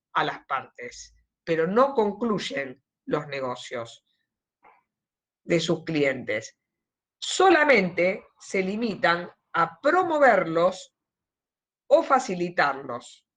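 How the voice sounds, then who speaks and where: A woman at a very slow pace, with very wide pitch swings and long, frequent pauses. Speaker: law lecturer. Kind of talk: lecture. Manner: deliberately slow here.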